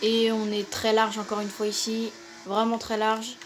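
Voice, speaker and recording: Against music in the background and audible room echo, a woman with a fairly high pitch speaks at a moderate pace. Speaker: gaming youtuber. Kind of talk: gameplay commentary. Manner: hesitant with fillers.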